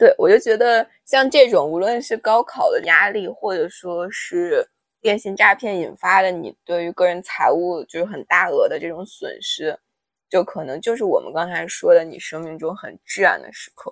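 A woman speaks at a moderate pace with big swings in loudness. The sound is dry and close, with no echo. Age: 20s. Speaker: podcast co-host. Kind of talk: casual chat.

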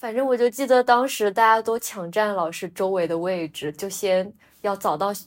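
At a moderate speed and with ordinary pitch movement, a woman talks in a plain, everyday voice. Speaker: podcast co-host. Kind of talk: casual chat.

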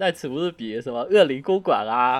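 A man speaks at a moderate pace in a strong southern Chinese accent. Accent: strong southern Chinese accent in Mandarin. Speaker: podcast co-host. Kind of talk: casual chat. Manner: hesitant, many fillers.

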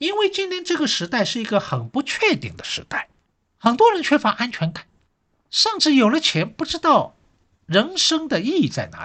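A man speaks in a raised, projected voice at an extremely high pitch, his pitch swinging very widely. His tone is bright and sharp, and his pace is moderate. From Shanghai. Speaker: history professor. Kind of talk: solo podcast talk.

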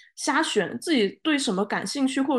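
Over a quiet background, a woman speaks at a fairly quick pace. Her intonation is lively. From Guangzhou. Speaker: podcast host. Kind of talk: casual chat. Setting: studio, in person with co-hosts.

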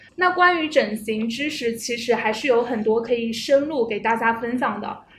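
The speaker is a woman with a high pitch. There is audible room echo. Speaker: podcast host. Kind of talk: casual chat. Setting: meeting room.

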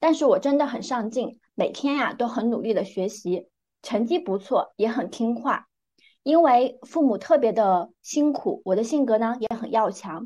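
High-pitched yet dark and mellow in tone, a woman speaks fairly slowly with lively intonation. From northern Jiangsu, China (small county town). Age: 30s. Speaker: big data product director and life coach. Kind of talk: interview, personal life story.

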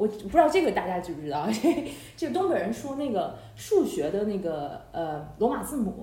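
Against noticeable background noise, a woman speaks with very wide pitch swings. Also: medium pitch for a woman, moderate pace. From Harbin, Heilongjiang, China. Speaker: podcast host. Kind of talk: casual chat. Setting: online call.

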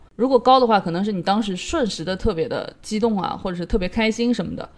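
A woman with a medium pitch and lively intonation speaks in a normal speaking voice. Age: middle-aged. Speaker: podcast co-host. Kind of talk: casual chat.

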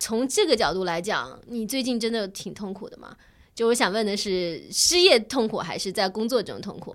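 In an ordinary speaking voice, a woman speaks at a moderate pace and a fairly high pitch. Her intonation is lively, and her loudness swings widely. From China, small city. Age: middle-aged. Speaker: podcast co-host. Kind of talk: casual chat.

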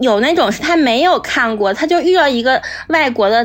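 Music plays in the background while the speaker moves at a fairly quick pace with lively intonation. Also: woman. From Northeast China. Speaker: podcast guest. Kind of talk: casual chat.

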